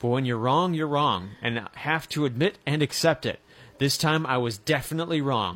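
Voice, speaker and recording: Using a plain, everyday voice, a man speaks at a moderate pace with lively intonation. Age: 20s. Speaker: sports radio host. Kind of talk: sports talk radio. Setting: radio studio.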